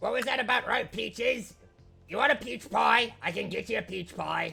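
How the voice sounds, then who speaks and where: A put-on character voice at a moderate pace, faint music in the background. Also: man, extremely high pitch for a man. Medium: actual play. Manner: eager, brisk.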